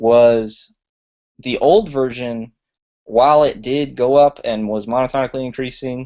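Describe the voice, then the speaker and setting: A man with an unremarkable speaking voice, medium pitch and moderate pace. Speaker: tech presenter. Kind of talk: tutorial. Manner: casual.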